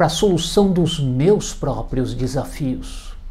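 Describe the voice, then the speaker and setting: In a São Paulo accent, a man speaks at a fairly high pitch with a dark, mellow tone, and audible room echo surrounds his voice. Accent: Brazilian Portuguese, paulistano. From Brazil, São Paulo city. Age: 60s. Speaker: hypnotherapist. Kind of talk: video presentation. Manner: formal.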